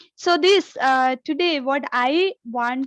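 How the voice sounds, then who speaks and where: A woman with an Indian accent speaks with ordinary pitch variation, in a dry, close sound with no echo and a quiet background. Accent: Indian accent, self-described. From India, Kerala. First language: Malayalam. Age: 40s. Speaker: speaker at an online summit. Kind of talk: motivational talk. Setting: video call. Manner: halting, many fillers.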